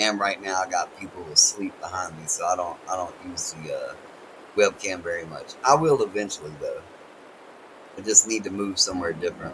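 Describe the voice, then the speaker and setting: Over noticeable background noise, a man with an American accent talks fairly quickly at a fairly low pitch, with ordinary pitch variation and big swings in loudness. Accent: country accent, strong. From North Carolina, US. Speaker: game streamer. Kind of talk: casual live-stream chat. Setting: home, family asleep nearby. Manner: halting, repetitive.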